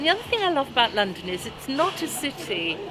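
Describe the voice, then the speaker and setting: A woman's lively intonation amid audible room echo and noticeable background noise. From South Wales. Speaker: interviewee. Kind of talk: casual chat.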